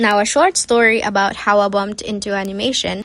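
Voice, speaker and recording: A woman talks at a moderate pace with a Cebuano accent. Her pitch is fairly high. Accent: Filipino (Cebuano). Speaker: YouTube animator. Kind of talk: casual storytime vlog.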